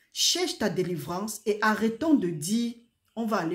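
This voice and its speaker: A woman speaks in a somewhat breathy voice. Her pitch rises and falls in an ordinary way. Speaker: preacher. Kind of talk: sermon. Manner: soft-spoken.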